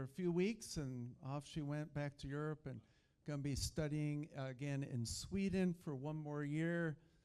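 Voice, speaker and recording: Fairly slow pace, fairly even intonation. It is a plain, everyday voice. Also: man. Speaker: event host. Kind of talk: event welcome speech.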